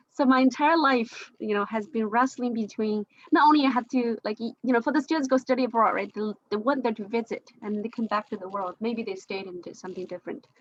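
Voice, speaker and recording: A woman speaks very fast with a Chinese accent in a fairly high voice, her loudness swinging widely. The sound is dry and close, with no echo. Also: ordinary pitch variation. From China, Jiangxi province. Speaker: discussion participant. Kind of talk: group discussion. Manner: halting.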